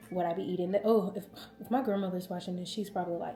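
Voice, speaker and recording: An animated woman's voice in a Southern US accent, over noticeable background noise. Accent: Southern twang. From US South. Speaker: lifestyle vlogger. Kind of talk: casual vlog storytelling.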